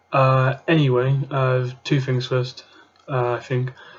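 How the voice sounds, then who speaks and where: A man's medium-pitched, monotone, flat voice in a British accent, with noticeable background noise. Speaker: YouTuber, card game deck reviewer. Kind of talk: casual tutorial-style deck profile. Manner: quiet, trying not to be loud; halting, many fillers and repetitions.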